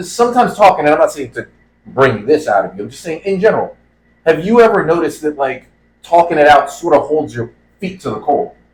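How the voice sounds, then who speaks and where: A man's very fast, fairly high-pitched speech with vocal fry, very wide pitch swings and big swings in loudness. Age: middle-aged. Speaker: podcast co-host. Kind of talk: casual chat.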